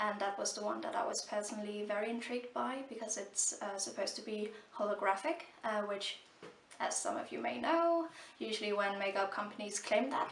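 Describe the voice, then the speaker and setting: A woman's medium-pitched, fairly quick speech with lively intonation, set against noticeable background noise and audible room echo. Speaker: beauty vlogger. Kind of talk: product review. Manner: halting, many fillers.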